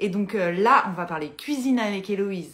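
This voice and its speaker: With an ordinary speaking voice, a woman speaks at a moderate pace and medium pitch with lively intonation. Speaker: Instagram live host, interior decoration talk. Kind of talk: casual live chat. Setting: Instagram live video stream.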